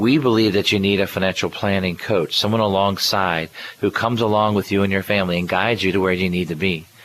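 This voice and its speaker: The speech runs at a very fast pace, with very even loudness and fairly even intonation. Noticeable background noise sits underneath. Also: man, fairly low pitch for a man. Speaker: radio host and financial planner. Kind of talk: radio show talk. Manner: occasionally stumbles on words.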